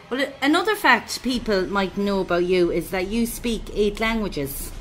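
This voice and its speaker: A woman with an Irish accent talks at a moderate pace against noticeable background noise. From Ireland. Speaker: radio host. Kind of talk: radio interview.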